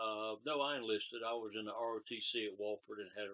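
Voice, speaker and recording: Speaking very fast with a South Carolina accent, a man uses a fairly low, bright, sharp voice with fairly even intonation. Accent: Southern US (South Carolina). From US South, South Carolina (Spartanburg County). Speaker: war veteran. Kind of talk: oral history interview. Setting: at his home. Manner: terse.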